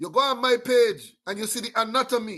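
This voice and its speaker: A man with an American accent speaks at an extremely high pitch in a raised, projected voice, bright and sharp in tone. His delivery is animated at a fairly slow pace against a quiet background. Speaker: talk show host. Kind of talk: political commentary monologue. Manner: repetitive halting fillers.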